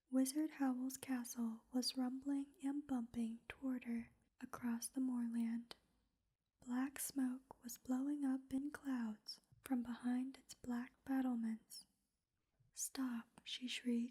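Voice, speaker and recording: Soft-spoken and monotone, a woman talks at a very slow pace in a high pitch with flat intonation. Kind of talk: ASMR sleep-story book reading.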